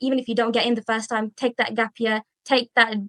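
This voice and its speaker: Talking very fast with a slight Birmingham accent, a woman uses a fairly high pitch and monotone, flat intonation. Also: dry, close sound with no echo. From England, Birmingham. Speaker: dental student. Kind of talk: podcast interview.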